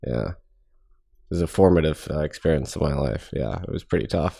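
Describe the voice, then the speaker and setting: A man talks with a very deep, low pitch, a dark, mellow tone and vocal fry, with ordinary pitch variation. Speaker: podcast host. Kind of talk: interview conversation.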